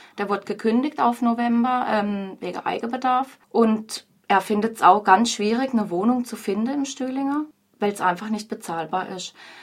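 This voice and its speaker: At a moderate pace, a woman speaks in a normal speaking voice at a fairly high pitch, with ordinary pitch variation. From Freiburg, southern Baden, Germany. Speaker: pub landlady. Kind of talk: radio interview.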